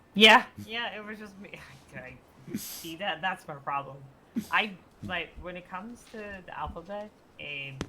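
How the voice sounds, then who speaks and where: A woman with a slight Swedish accent, at a moderate pace, lively intonation, big swings in loudness and long, frequent pauses. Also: medium pitch for a woman. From Sweden. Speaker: roleplay player. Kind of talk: casual roleplay chat.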